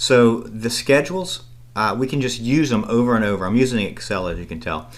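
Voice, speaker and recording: The speech moves at a fairly quick pace with ordinary pitch variation. Audible room echo can be heard. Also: man. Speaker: accounting instructor. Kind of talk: recorded lecture tutorial. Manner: fast.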